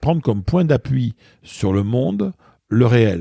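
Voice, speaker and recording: Very slow and lively in intonation, a man speaks at medium pitch with a dark, mellow tone, the sound dry and close with no echo on a very clean recording with a silent background. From southwestern France, Bordeaux. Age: 60s. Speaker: author and public speaker. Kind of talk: interview conversation. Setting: in person. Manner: hesitant, many fillers.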